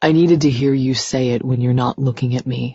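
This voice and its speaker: A woman uses a put-on character voice that is raspy and very deep and low. Her tone is intense and her pace fairly quick. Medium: read story. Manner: low, intense.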